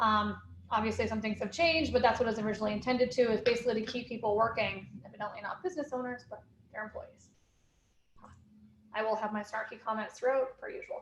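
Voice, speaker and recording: A woman speaks very fast in a fairly high, somewhat breathy voice with fairly even intonation. Her speech is broken by long, frequent pauses. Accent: American. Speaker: accounting firm owner. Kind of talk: webinar presentation.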